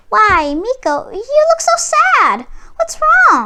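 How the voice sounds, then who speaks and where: A woman's squeaky put-on character voice, extremely high-pitched with very wide pitch swings, at a very slow pace. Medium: read story. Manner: sweet, eager.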